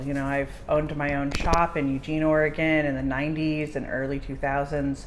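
A woman with a very deep, low voice talks at a fairly slow pace. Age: 40s. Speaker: body piercer and metalsmith. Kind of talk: casual chat.

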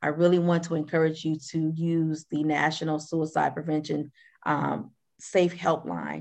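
With an American accent, a woman speaks at a fairly slow pace in a very deep, low pitch and a monotone, flat intonation. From Flint, Michigan. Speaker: clinical social worker. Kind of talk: interview. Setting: remote call across time zones.

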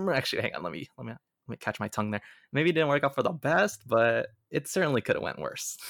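A man with an American accent talks very fast, with big swings in loudness, in a very clean recording with a silent background and a dry, close sound with no echo. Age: 20s. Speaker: filmmaker and podcaster. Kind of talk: interview conversation.

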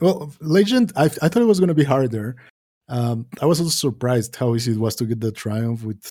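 With lively intonation and a dark, mellow tone, a man talks at a medium pitch and a fairly quick pace. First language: not English. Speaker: podcast co-host. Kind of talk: casual gaming chat.

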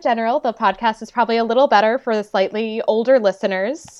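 With a normal speaking voice, a woman talks at a fairly quick pace, her pitch fairly high and its variation ordinary. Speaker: historian, podcaster. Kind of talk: casual chat, interview.

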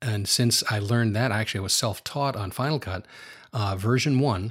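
In a very clean recording with a silent background, a man with an American accent speaks at a moderate pace. His fairly low voice is somewhat breathy. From US Northeast, outside New York City. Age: 60s. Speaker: retired AV technician. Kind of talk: interview.

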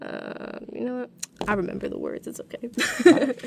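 A woman's speech comes through with noticeable background noise around it. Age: young. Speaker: student DJ and songwriter. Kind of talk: casual interview.

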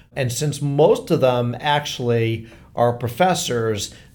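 A plain, everyday voice from a man at medium pitch, with ordinary pitch variation. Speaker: podcast host. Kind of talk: casual interview.

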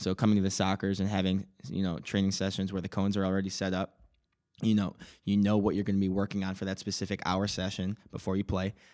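At a very fast pace, a man speaks in a fairly low, monotone voice with flat intonation on a very clean recording with a silent background. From US Midwest, Palatine, Illinois. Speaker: pro soccer player. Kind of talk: interview.

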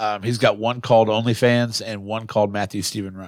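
On a very clean recording with a silent background, a plain, everyday voice with an American accent speaks at a fairly quick pace and with fairly even intonation. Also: man. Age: 20s. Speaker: podcast co-host and mayoral candidate. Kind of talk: casual chat. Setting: studio.

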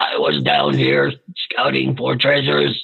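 Using a put-on character voice, a man speaks raspily at a fairly slow pace in a very deep, low pitch.

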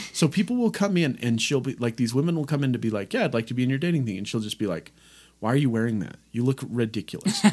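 This man talks very fast at a medium pitch, his intonation lively. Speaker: podcast co-host. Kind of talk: casual chat. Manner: loud.

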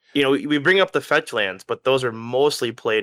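A man's unremarkable speaking voice at a moderate pace, with lively intonation. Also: very clean recording, silent background. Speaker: guest podcaster. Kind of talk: casual banter podcast.

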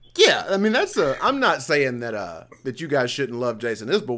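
A man speaks in an animated, bright and sharp tone at a moderate pace. The recording is very clean, with a silent background. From Northwest Alabama. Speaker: podcast host. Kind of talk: casual chat. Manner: animated, excitable.

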